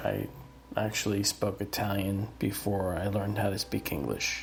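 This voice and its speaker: Audible room echo surrounds a man speaking at a fairly slow pace with an American accent. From US Northeast (New Jersey, Pennsylvania, New York area). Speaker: podcast host. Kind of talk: personal storytelling monologue. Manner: casual, many filler words.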